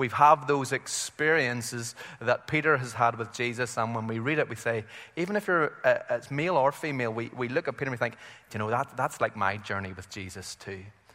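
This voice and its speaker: A man with a Northern Irish accent, medium pitch, ordinary pitch variation and a fairly quick pace. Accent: Northern Irish (Belfast). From Belfast, Northern Ireland. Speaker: visiting preacher. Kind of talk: sermon. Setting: church with congregation.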